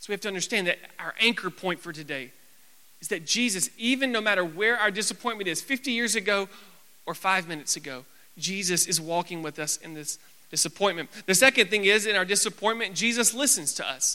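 The voice is raised and projected, with a bright, sharp tone. Its intonation is lively, and the loudness swings widely. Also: man, high pitch for a man, fairly quick pace. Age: 20s. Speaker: youth pastor. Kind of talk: sermon. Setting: church.

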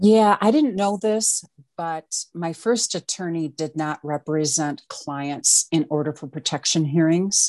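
A woman with a plain, everyday voice talks at a fairly slow pace with hardly any pauses, her pitch fairly low and its variation ordinary, in a dry, close sound with no echo against a quiet background. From Wisconsin. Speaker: domestic violence coach. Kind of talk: interview testimony.

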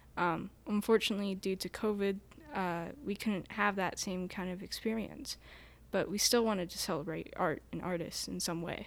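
A woman with an American accent talks at a moderate pace and medium pitch, with ordinary pitch variation. She has an ordinary speaking voice. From Ashland, Montana. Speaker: shop worker and designer. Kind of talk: casual chat. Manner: giggly.

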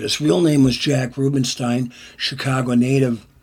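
A man with an American accent speaks at a moderate pace in a somewhat breathy voice of medium pitch. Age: 60s. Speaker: songwriter and musician. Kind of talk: casual interview.

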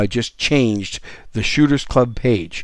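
An unremarkable speaking voice from a man with an American accent, medium pitch, ordinary pitch variation and a fairly slow pace, on a very clean recording with a silent background. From Wisconsin. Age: 50s. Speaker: podcast host. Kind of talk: casual interview; solo monologue.

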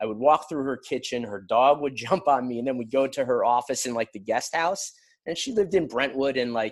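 With an American accent, a man uses a plain, everyday voice at a medium pitch, moving at a fairly quick pace with ordinary pitch variation against a quiet background. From New York. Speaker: television writer. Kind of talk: storytelling interview.

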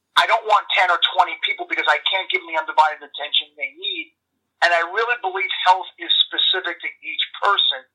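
The speech comes at a very fast pace. It is delivered in a New York accent. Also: man. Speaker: health coach and former baseball player. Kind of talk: casual interview chat. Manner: blunt, enthusiastic.

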